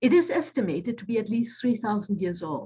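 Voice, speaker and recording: The woman's voice is somewhat breathy and fairly high. She talks at a moderate pace with very wide pitch swings. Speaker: author. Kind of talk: lecture. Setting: video call.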